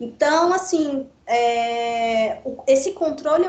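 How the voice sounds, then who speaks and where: With a high pitch, a woman speaks using lively intonation. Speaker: teacher. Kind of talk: online lecture.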